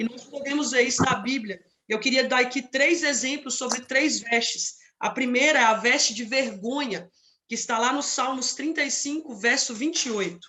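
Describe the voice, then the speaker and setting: The voice belongs to a woman and sits high in pitch. It shows ordinary pitch variation. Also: moderate pace. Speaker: preacher. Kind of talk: sermon.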